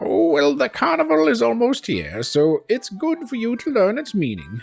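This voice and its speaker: A put-on character voice sits at a middle pitch and moves at a moderate pace. Faint music plays in the background. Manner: gentle storytelling.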